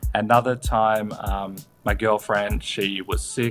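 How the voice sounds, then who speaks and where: A fairly low-pitched man with an Australian accent, music in the background. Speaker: comedian, screenwriter and podcast host. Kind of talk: interview answer. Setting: remote call on holiday, no podcast equipment.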